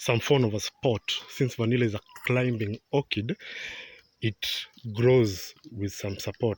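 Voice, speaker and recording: Recorded very cleanly against a silent background, in a dry, close sound with no echo, a man speaks at a moderate pace with a fairly low pitch and fairly even intonation. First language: not English. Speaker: vanilla farmer. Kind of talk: farm tour. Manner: halting.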